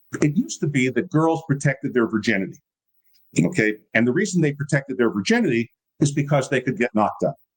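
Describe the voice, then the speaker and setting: Talking at a very fast pace, a man with a fairly high pitch and lively intonation sounds somewhat breathy, his loudness very even and the sound dry and close with no echo. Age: 60s. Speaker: political movement founder and writer. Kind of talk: casual interview conversation. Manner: animated.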